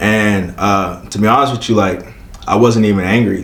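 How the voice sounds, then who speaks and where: Someone with an American accent speaks at a moderate pace. Noticeable background noise and audible room echo are present. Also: man. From Prince George's County, Maryland (DC area). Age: 20s. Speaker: community CPR instructor. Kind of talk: casual interview. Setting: on location in Baltimore.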